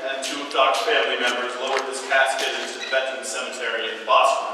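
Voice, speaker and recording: A man talks at a fairly quick pace. Strong room echo and noticeable background noise surround him. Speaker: peace activist and Iraq war veteran. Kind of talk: eulogy-style tribute speech at a protest teach-in, solemn and remembering fallen soldiers. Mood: solemn, memorial tone. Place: hall. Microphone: camera far.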